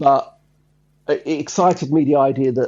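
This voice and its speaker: A man with an Essex accent speaks at a fairly slow pace. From Essex, England. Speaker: songwriter. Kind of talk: interview. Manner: halting.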